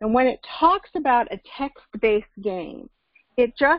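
A woman's voice, dry with no echo, against a quiet background. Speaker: course instructor. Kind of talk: lecture. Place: home room. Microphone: video call.

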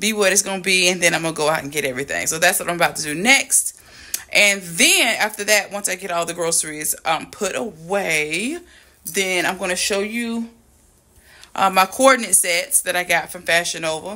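A woman's bright, sharp voice at a moderate pace, with ordinary pitch variation against a quiet background. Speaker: lifestyle vlogger. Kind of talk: casual vlog chat. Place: home room. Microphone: phone near.

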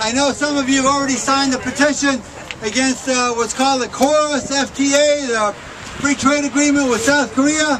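A man talks in an extremely high pitch with an American accent and fairly even intonation. Crowd noise can be heard behind him. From US Midwest, Detroit area. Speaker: union activist. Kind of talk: outdoor protest rally speech, reading opponents' quotes aloud to a crowd. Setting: outdoors at a rally with crowd. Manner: pointed, indignant build-up with occasional stumbles. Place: street.

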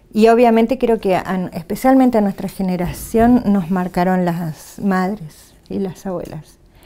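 With a dark, mellow tone, a woman speaks at a fairly slow pace with hardly any pauses and ordinary pitch variation. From Argentina, Neuquén (Cutral Có). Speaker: human rights activist and union press officer. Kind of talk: interview. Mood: calm, reflective. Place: studio. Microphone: lapel.

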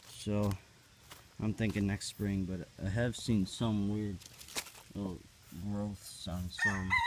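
The speech moves at a very slow pace, with a dry sound with no echo and noticeable background noise. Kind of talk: casual vlog chat. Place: garden. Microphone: phone near.

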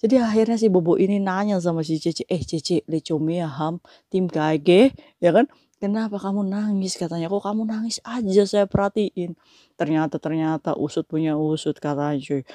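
The voice has a dark, mellow tone and ordinary pitch variation at a moderate pace, with dry sound, no echo and a quiet background. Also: woman. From Indonesia. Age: 40s. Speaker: migrant domestic worker vlogger. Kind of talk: casual vlog monologue. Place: home room. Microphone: lapel.

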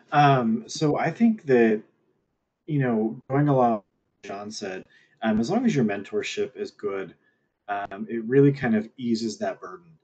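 A man's voice at medium pitch, with ordinary pitch variation, a fairly slow pace and long, frequent pauses. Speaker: university professor. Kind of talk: panel Q&A. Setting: video call.

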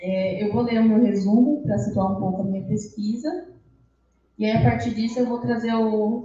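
The voice is somewhat breathy, with ordinary pitch variation and a moderate pace. There is audible room echo and light background noise. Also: woman. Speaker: history undergraduate presenter; presenter. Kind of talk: academic presentation. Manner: reading aloud. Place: classroom.

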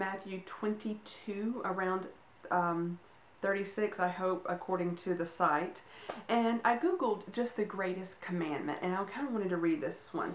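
A woman talks at a fairly slow pace with ordinary pitch variation, with audible room echo and light background noise. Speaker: vlogger giving a devotional. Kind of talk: casual devotional talk. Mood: earnest, animated. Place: home room. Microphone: camera far.

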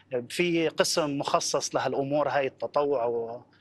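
Speaking at a fairly slow pace, a man keeps a fairly high pitch and fairly even intonation. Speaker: volunteer; TV guest. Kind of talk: interview. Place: studio. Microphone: lapel.

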